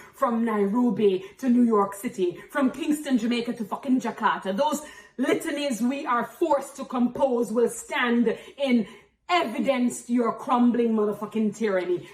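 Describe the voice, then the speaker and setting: Over noticeable background noise, a woman speaks at a moderate pace and high pitch with ordinary pitch variation. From Jamaica. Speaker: spoken-word poet and activist. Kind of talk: spoken-word poetry performance. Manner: forceful, impassioned.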